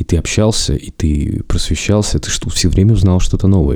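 A man talking at a very fast clip, ordinary pitch variation, noticeable noise behind him. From Russia, Zabaikalsky region (Chita, village). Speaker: podcast host. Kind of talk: solo podcast monologue.

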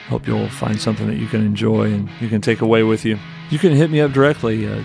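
A man speaks at a fairly quick pace. Music can be heard in the background. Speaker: church leader, podcast promo host. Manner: casual, friendly.

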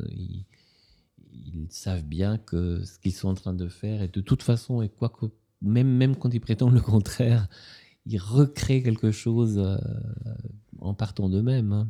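A man with an Italian accent speaks at a fairly slow pace in a fairly low, dark, mellow voice, with long, frequent pauses on a very clean recording with a silent background. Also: ordinary pitch variation. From Ticino, Switzerland. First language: Italian (speaking French). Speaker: novelist and literature professor. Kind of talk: author interview.

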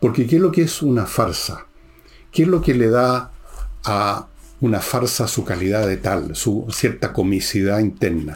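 Here a man with a Chilean accent speaks at a medium pitch. His pace is fairly slow and his pitch swings very widely. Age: 70s. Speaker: podcast host and author. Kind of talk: political commentary monologue.

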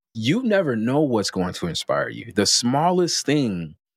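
Here a man with an American accent talks at a moderate pace with lively intonation in an unremarkable speaking voice. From Chicago. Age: 30s. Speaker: podcast host. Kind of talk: casual interview chat.

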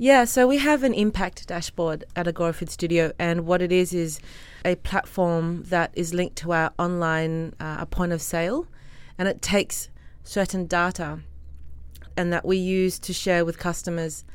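An Australian accent with ordinary pitch variation in a very clean recording with a silent background. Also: woman, fairly low pitch for a woman, moderate pace. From Australia, Sydney. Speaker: restaurant co-founder. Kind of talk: interview.

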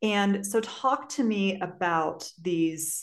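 With an American accent, a woman speaks at a very slow pace. The background is quiet. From US Midwest, St. Louis area, Missouri. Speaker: podcast co-host and teacher. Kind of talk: casual chat.

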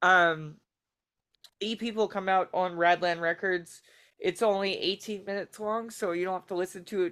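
A woman with an American accent speaks at a moderate pace in an unremarkable speaking voice, her pitch medium and her intonation fairly even. The recording is very clean, with a silent background. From Baltimore, US. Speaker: stand-up comedian. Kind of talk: casual chat. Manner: jokey, rambling.

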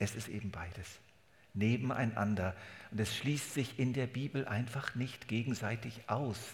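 A man's somewhat breathy voice at a fairly slow pace with fairly even intonation and audible room echo. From Germany. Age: 70s. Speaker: pastor. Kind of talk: sermon.

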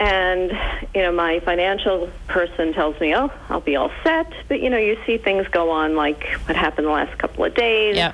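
With a normal speaking voice, a woman talks at a moderate pace in a fairly low pitch, her loudness very even and her pitch variation ordinary. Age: 60s. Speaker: caller. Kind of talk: call-in question. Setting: phone call.

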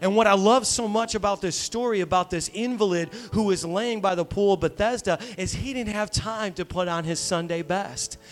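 With noticeable background noise behind him, a man with a high pitch talks in an animated tone at a moderate pace, hardly pausing, with ordinary pitch variation. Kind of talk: sermon. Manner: animated, exhorting, with audience call-and-response; conversational, humorous, building in intensity.

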